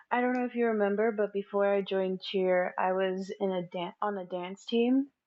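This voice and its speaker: This is an unremarkable speaking voice. Its intonation is fairly even and its pace moderate. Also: woman, medium pitch for a woman. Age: 20s. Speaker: college student, podcast guest. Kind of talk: casual chat.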